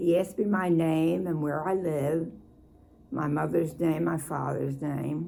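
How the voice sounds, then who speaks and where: A woman speaks in a Philadelphia accent at a very slow pace. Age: 80s+. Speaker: former Navy Department worker. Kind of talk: interview answer.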